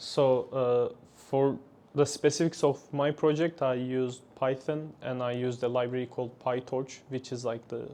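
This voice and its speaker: A man with a Turkish accent, a medium pitch, a dark, mellow tone, monotone, flat intonation and a moderate pace. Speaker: engineering graduate. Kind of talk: interview. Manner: halting.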